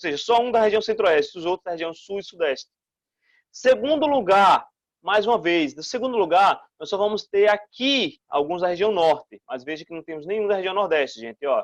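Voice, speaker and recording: Against a quiet background, a man speaks in a high pitch. His intonation is lively. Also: big swings in loudness, dry, close sound with no echo. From Brazil, Northeast. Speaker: school teacher. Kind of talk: recorded online lesson. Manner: fast; animated.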